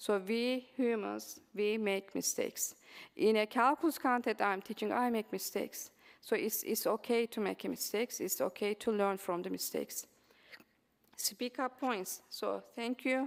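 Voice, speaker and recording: In a Turkish accent, a woman speaks. Her pace is fairly slow. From Turkey. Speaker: mathematics professor. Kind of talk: conference presentation. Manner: halting, many fillers.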